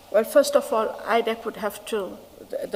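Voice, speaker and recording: Noticeable background noise around a woman's fairly high-pitched speech. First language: not English. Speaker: witness, senior investigative official. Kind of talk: testimony under questioning. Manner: halting.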